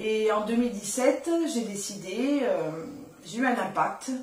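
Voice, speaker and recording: A woman with a fairly high pitch and fairly even intonation speaks at a fairly slow pace, with noticeable background noise and audible room echo. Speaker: sign language interpreter and nursing assistant. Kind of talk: radio interview.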